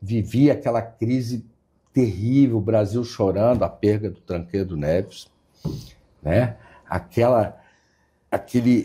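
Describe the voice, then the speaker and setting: A man speaks at medium pitch with a dark, mellow tone that is somewhat breathy. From Brasília, Brazil. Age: 60s. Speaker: state government secretary. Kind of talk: interview. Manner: hesitant, repeats words.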